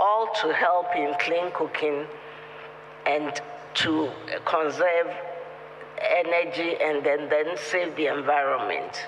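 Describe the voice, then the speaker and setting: There is noticeable background noise and audible room echo. Through it, a man with a high pitch talks at a fairly slow pace. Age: 80s+. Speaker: retired doctor and ambassador. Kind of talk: formal speech.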